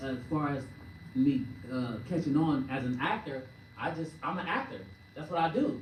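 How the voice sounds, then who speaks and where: Noticeable background noise and audible room echo surround a woman with a very deep, low pitch who leaves long, frequent pauses. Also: ordinary pitch variation, moderate pace. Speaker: actor. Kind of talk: press conference Q&A answer.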